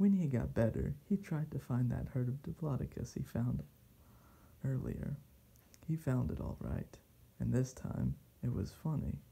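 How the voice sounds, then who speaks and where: A soft-spoken man talks in a calm tone at a fairly slow pace. Long, frequent pauses break up his speech. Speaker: reader. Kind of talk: soft ASMR bedtime story reading. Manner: soft, calm, sleepy. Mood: calm bedtime, slightly wry. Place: home room. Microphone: camera far.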